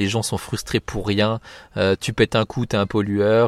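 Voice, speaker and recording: A man speaks at a moderate pace in a fairly low pitch, his intonation flat and monotone, on a dry, close recording with no echo. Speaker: podcast host. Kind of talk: casual solo commentary. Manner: hesitant, many fillers.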